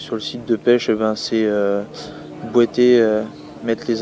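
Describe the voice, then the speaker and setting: Noticeable background noise sits behind speech at a moderate pace with fairly even intonation. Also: man. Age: 20s. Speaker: fisherman, deckhand. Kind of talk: interview testimony. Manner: hesitant, many fillers.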